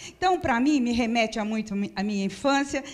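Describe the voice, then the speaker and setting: Her fairly high voice rises and falls with lively intonation as the woman speaks. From São Paulo, Brazil (Penha district). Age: 60s. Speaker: spiritist center presenter. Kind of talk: welcome address.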